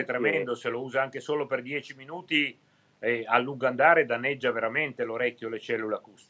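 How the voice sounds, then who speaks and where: A man speaks at a very fast pace in a bright, sharp tone. His intonation is fairly even. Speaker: ear, nose and throat doctor. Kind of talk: TV studio interview answer. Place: home room. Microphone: video call.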